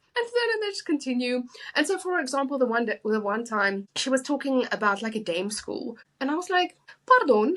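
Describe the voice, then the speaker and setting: A woman with a non-native accent speaks at a high pitch and a fairly quick pace. Her pitch swings very widely. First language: not English. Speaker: writer, podcast co-host. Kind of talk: casual chat.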